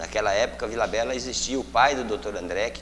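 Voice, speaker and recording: Audible room echo and noticeable background noise run through this clip. The man in it speaks at a very fast pace. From Mato Grosso, Brazil (Pontes e Lacerda area). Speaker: state deputy / politician. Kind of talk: interview. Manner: halting, with many fillers.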